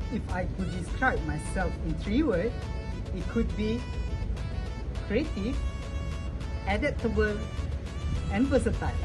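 With clear music in the background, a man talks at a fairly slow pace, leaving long, frequent pauses. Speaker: job applicant. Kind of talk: video job application. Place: garden.

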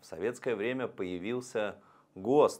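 This voice is a man's. The rise and fall of his pitch is ordinary. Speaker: presenter. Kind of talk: lecture. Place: studio. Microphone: lapel.

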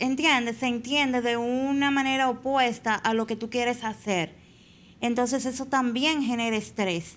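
Bright and sharp in tone, a woman speaks at a high pitch with fairly even intonation. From Dominican Republic, Azua; Dominican Republic. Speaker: Paralympic swimmer; podcast guest. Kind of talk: interview. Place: studio. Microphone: studio mic.

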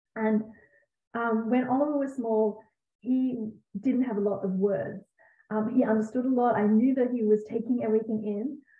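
A woman with an Australian accent speaks at a moderate pace in a fairly high voice, her fairly even intonation broken by long, frequent pauses, with audible echo in the room. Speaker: Montessori educator and parenting author. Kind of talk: live Q&A. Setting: video call. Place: home room. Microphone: webcam.

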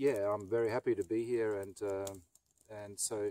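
A man's dark, mellow tone with ordinary pitch variation, dry sound with no echo and light background noise. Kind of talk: casual vlog chat. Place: forest.

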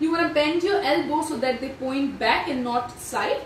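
A high-pitched woman at a moderate pace, with audible room echo and light background noise. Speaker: yoga instructor. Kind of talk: tutorial. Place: home room. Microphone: camera far.

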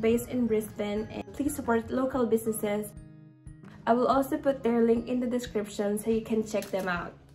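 A woman talks at a fairly quick pace with fairly even intonation, faint music playing in the background. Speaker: vlogger. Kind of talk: casual vlog chat. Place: home room. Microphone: phone near.

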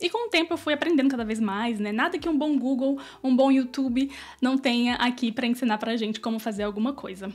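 The woman talks fairly quickly in a high pitch, with ordinary pitch variation. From Brazil. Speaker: YouTuber. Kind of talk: vlog monologue. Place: home room. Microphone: studio mic.

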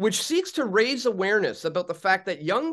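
Over a quiet background, a man talks with lively intonation. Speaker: online show host. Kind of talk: news commentary intro. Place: home room.

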